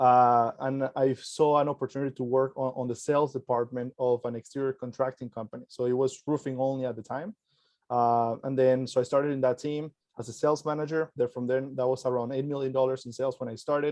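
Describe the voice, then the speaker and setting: A man talks very fast in a flat, monotone delivery. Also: medium pitch for a man. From Venezuela. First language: Spanish. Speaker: entrepreneur and sales expert. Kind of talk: podcast interview.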